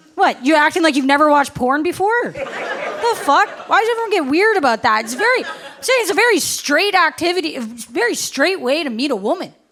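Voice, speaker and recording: Amid noticeable background noise, a woman with an extremely high voice talks fairly quickly with hardly any pauses and very wide pitch swings. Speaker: stand-up comedian. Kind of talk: live stand-up comedy set. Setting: live comedy club audience. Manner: matter-of-fact delivery.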